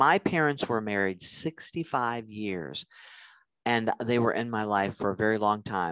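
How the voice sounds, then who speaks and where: With a normal speaking voice, a man talks at a fairly low pitch and fairly slow pace, his intonation lively, in a dry, close sound with no echo and a quiet background. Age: 50s. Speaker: nurse practitioner and relationship lecturer. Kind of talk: lecture.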